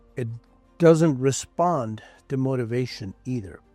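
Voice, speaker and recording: A medium-pitched man with lively intonation at a very slow pace, music in the background. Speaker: sales consultant; certified hypnotherapist. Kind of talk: motivational talk to camera.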